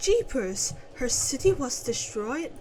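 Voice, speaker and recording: Using a put-on character voice, a woman speaks high in pitch at a fairly slow pace, with clear background noise. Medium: actual play. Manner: chatty, slangy, blunt.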